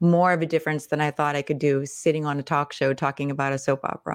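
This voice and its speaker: In a very clean recording with a silent background, a woman with a very deep, low pitch speaks at a very fast pace in a monotone, flat intonation. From Pittsburgh, Pennsylvania. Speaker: personal branding coach, former actress. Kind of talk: casual interview.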